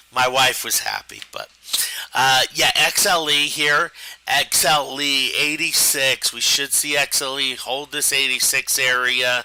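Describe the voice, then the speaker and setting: Against noticeable background noise, a man with a fairly high pitch speaks at a fairly slow pace in a monotone, flat intonation. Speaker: stock trading educator. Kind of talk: live trading webinar. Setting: live stream.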